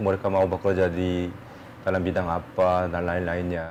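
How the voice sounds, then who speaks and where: This man talks with a very deep, low pitch, keeping a moderate pace. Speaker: professor. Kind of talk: interview.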